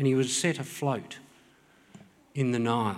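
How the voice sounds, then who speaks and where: This man speaks at a moderate pace with an Australian accent. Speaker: preacher. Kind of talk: sermon. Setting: church.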